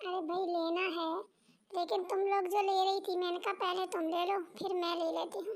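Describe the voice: A female-sounding, cartoonish character voice hits an extremely high pitch. Its pace is fairly quick.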